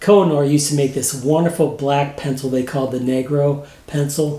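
A man with a Midwestern American accent speaks at a moderate pace in a fairly high pitch. His intonation stays fairly even, and the room echo is audible. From Missouri, St. Louis area; Missouri. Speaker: retired graphic designer, painter; interviewee. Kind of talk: interview. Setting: home studio. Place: home room.

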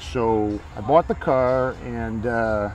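A man's voice comes through dry and echo-free over light background noise. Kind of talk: interview answer. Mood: relaxed, proud. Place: open country.

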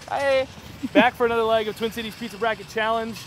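A dry sound with no echo and light background noise. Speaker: food reviewer host. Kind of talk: casual vlog chat. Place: street.

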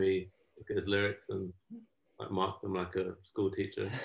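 Speaking at a moderate pace, a man uses a fairly low voice. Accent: southern English. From London. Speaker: musician and producer. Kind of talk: interview. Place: home room. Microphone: video call.

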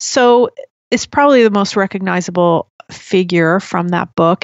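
A woman's medium-pitched, plain, everyday voice, moderate in pace, with ordinary pitch variation. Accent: American. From US Northeast (New Jersey). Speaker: podcaster on Jungian psychology. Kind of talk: casual interview chat.

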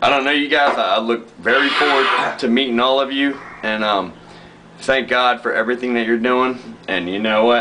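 A man at a moderate pace with long, frequent pauses and noticeable background noise. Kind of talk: casual joking video message. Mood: playful, joking, warm. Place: kitchen. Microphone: phone near.

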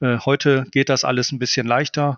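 At a moderate pace, a man speaks with fairly even intonation at a medium pitch. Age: 40s. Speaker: barbecue blogger and cookbook author. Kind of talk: casual interview. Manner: hesitant, many filler sounds.

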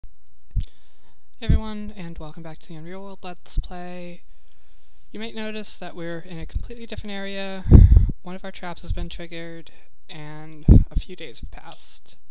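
Light background noise sits under the voice. The pace is moderate, with long, frequent pauses. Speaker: video game let's player. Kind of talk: casual gameplay commentary. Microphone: headset.

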